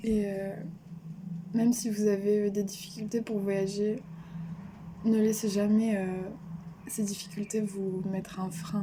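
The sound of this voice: A woman's dark, mellow voice at a fairly slow pace, with little pitch movement and long, frequent pauses. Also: medium pitch for a woman.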